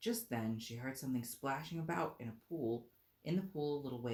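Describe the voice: This is plain reading aloud. The words are simply read out.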